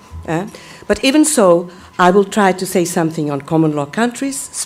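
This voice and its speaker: A woman with a Portuguese accent speaks at a moderate pace in a medium pitch, her intonation lively, over noticeable background noise. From Brazil. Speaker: law professor. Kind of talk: conference talk. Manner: halting; formal.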